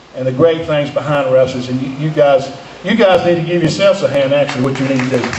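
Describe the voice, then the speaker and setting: There is noticeable background noise and audible room echo. The pitch varies in an ordinary way. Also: man. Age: 50s. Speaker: retired pro wrestler. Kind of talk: speech to live crowd. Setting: arena stage with audience. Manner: halting, repeats words.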